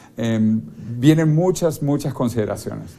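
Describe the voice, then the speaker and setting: His voice has a dark, mellow tone, and this man uses ordinary pitch variation. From Venezuela. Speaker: futurist author; interview guest. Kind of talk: TV interview. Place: studio. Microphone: lapel.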